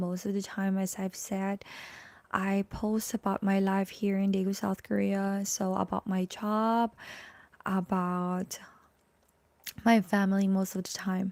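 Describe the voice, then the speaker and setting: In a Filipino accent, a woman speaks at a fairly slow pace and medium pitch with a dark, mellow tone and monotone, flat intonation, leaving long, frequent pauses, the sound dry and close with no echo. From Philippines. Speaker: vlogger. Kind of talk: live stream chat. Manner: halting.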